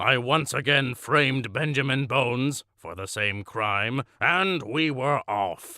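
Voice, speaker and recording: A man does a put-on character voice at medium pitch with lively intonation. His pace is fairly slow, with hardly any pauses. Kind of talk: deadpan comic monologue. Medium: audio drama. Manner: pompous, matter-of-fact about cruelty.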